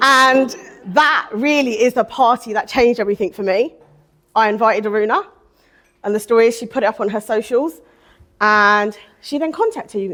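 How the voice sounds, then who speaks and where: A woman talks fairly quickly in a fairly high, animated voice with ordinary pitch variation. The recording is very clean, with a silent background. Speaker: divorce coach and mentor. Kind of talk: personal testimony at event. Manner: loud.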